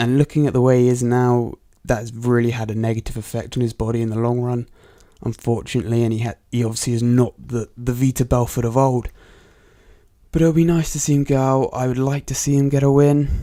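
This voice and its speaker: A man with a Bristol accent, a dark, mellow tone and medium pitch, at a fairly quick pace. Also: very clean recording, silent background. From England, Bristol. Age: 20s. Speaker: MMA podcast host. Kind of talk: solo podcast commentary. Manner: casual, hesitant with fillers.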